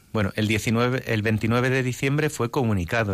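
An unremarkable speaking voice from a man, moderate in pace, with ordinary pitch variation. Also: very clean recording, silent background. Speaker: priest, seminary rector and bishop-elect. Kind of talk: radio interview.

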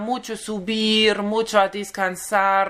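Very slow and bright with a sharp tone, a woman speaks at a medium pitch in a German accent. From Germany. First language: German (speaking Spanish). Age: 30s. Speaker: pilgrim. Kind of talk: interview. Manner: halting.

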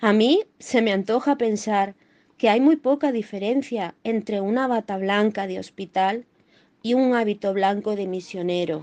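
An ordinary speaking voice talks at a fairly slow pace with ordinary pitch variation. The background is quiet. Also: woman, fairly high pitch for a woman. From Málaga, Andalusia. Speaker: doctor. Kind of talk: scripted reading.

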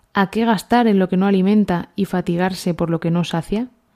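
In a very clean recording with a silent background and a dry, close sound with no echo, a woman of medium pitch speaks at a moderate pace with fairly even intonation and a dark, mellow tone. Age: 30s. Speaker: pediatrician, parish community member. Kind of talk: scripture reading. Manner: halting.

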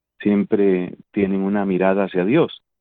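A man speaks with a Bogotá accent. His pace is fairly slow. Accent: Colombian Spanish (Bogotá). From Colombia (Bogotá). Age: 50s. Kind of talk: interview.

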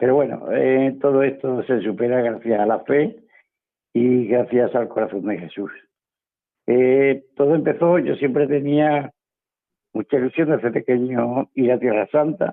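Talking at a fairly slow pace, a man has a medium pitch and ordinary pitch variation. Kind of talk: radio interview testimony. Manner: cheerful, often smiling.

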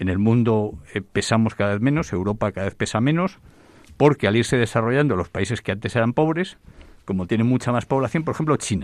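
A man's normal speaking voice, medium in pitch, at a fairly quick pace with lively intonation, on a very clean recording with a silent background. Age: 60s. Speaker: demography expert. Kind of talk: radio panel discussion.

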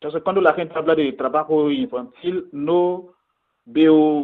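The speaker is a man with a fairly high pitch. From Ivory Coast, central region. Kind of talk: radio interview. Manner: halting, with frequent fillers.

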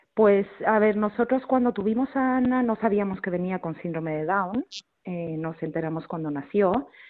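Here a woman speaks at a moderate pace and medium pitch. Her intonation is lively. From Mexico. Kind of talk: radio interview.

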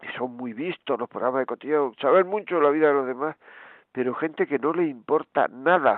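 Here is a man with an unremarkable speaking voice, set at a fairly high pitch. His pace is moderate and his pitch variation ordinary. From Granada, Spain. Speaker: radio host and priest.

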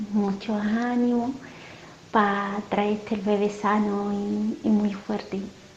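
Over noticeable background noise, a woman speaks in a monotone with flat intonation. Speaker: radio caller. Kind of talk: prayer request on phone-in. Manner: natural and fresh.

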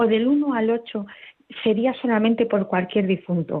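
A woman's plain, everyday voice at a moderate pace with ordinary pitch variation. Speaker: radio caller. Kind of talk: listener question on call-in show. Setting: phone call.

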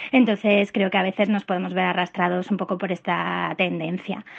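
A woman speaks in a normal speaking voice at medium pitch. Her pace is fairly quick. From Madrid, Spain. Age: 30s. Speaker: listener. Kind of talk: recorded voicemail question. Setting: voicemail.

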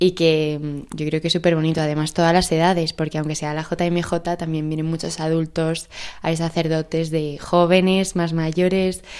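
A woman talks at a moderate pace in a fairly low pitch. Her intonation is monotone and flat. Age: 20s. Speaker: young pilgrim. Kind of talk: radio interview.

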